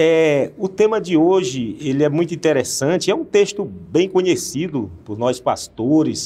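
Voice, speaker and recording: A man's voice has a dark, mellow tone and lively intonation. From Northeast Brazil. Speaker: pastor. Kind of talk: Bible study discussion.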